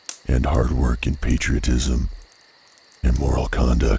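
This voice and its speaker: Noticeable background noise sits under a man's very deep, low voice. He speaks fairly slowly with monotone, flat intonation. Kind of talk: dramatic reading of a famous essay.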